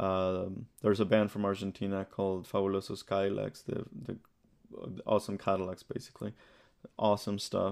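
A man speaks in a fairly low pitch at a moderate pace. His intonation is monotone and flat, over a quiet background. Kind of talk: casual interview.

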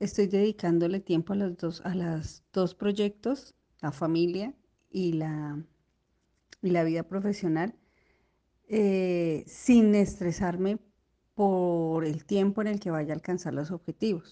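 Very slow speech from a woman, medium in pitch with a dark, mellow tone, fairly even intonation, long, frequent pauses, and a quiet background. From Colombia, Bogotá. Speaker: surgical instrument technician. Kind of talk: recorded personal testimony.

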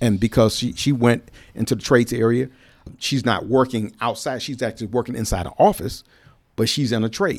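With an American accent and an unremarkable speaking voice, a man talks at a fairly quick pace and medium pitch on a very clean recording with a silent background. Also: ordinary pitch variation. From Cleveland, Ohio. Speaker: retired navy civilian worker, trades advocate. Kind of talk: casual interview. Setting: studio.

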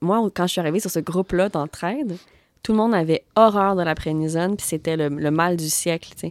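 At a moderate pace, a woman with a fairly low pitch and ordinary pitch variation is heard in a very clean recording, dry and close with no echo, over a silent background. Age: 30s. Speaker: podcast host. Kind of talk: casual chat. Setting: music studio. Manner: calm.

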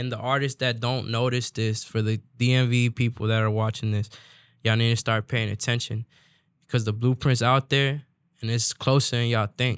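In a very clean recording with a silent background and a dry, close sound with no echo, a man of medium pitch speaks at a fairly quick pace in a monotone, flat intonation. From DMV area (Washington DC region), Salvadoran family. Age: 20s. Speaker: corrido singer. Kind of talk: casual interview.

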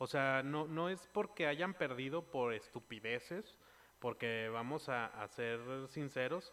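A man with a Mexican accent speaks at a very slow pace in a medium pitch. His tone is bright and sharp, his intonation lively. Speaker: podcast host. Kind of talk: casual chat. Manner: animated.

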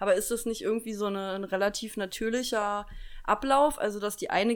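Speaking at a fairly quick pace, a woman with fairly high pitch and an unremarkable speaking voice keeps her intonation fairly even. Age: 20s. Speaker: podcast co-host. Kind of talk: casual chat. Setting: home kitchen.

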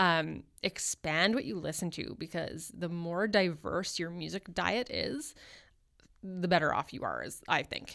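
A woman with a fairly low pitch speaks at a fairly slow pace, her bright, sharp tone carrying vocal fry in a very clean recording with a silent background. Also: ordinary pitch variation. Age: 30s. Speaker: newspaper columnist and former music journalist. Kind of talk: casual interview chat. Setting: radio studio.

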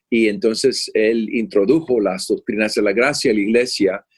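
A man talks at medium pitch and a fairly slow pace. His is an unremarkable speaking voice with ordinary pitch variation. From Puerto Rico, moved to Florida at eight. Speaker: pastor and theology professor. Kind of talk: interview conversation.

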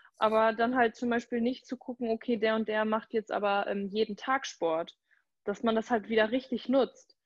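Here a woman uses an ordinary speaking voice with a fairly high pitch at a moderate pace. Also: fairly even intonation. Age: 20s. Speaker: social welfare office worker and Instagram creator. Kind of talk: casual interview chat.

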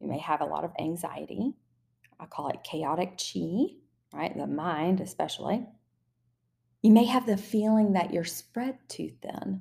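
A woman in a Southern US accent, animated and enthusiastic, at a fairly slow pace with long, frequent pauses, on a very clean recording with a silent background. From US South. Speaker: spiritual business coach and numerologist podcaster. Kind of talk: solo podcast monologue, coaching talk. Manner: animated, enthusiastic.

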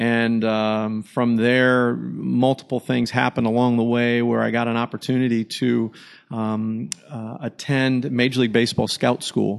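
With an American accent, a man talks at a fairly slow pace in a medium pitch, his intonation monotone and flat over noticeable background noise. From Michigan. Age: 50s. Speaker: baseball pitching coach. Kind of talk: interview, casual chat. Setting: in person at a ballpark. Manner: halting, many fillers.

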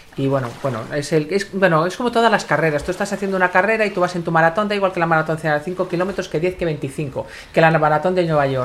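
At a very fast pace, a woman speaks with hardly any pauses. Her pitch is fairly low, with ordinary variation. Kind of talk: casual chat.

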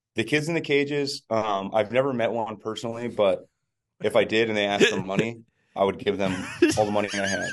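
A man talks at a fairly quick pace with an American accent. His is an ordinary speaking voice, medium in pitch with ordinary pitch variation. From New Jersey. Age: 30s. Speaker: touring musician, podcast co-host. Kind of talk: casual chat. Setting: hotel room.

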